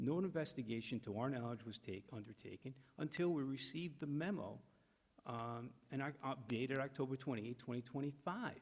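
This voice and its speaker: A man at a medium pitch, speaking at a fairly quick pace with ordinary pitch variation. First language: not English. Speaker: attorney for the appellant. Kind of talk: hearing testimony. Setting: town board meeting.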